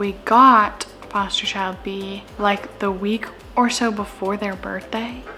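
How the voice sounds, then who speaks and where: Soft-spoken and at medium pitch, a woman talks at a very slow pace against noticeable background noise. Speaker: vlogger and foster parent. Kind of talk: casual vlog chat. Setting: at home.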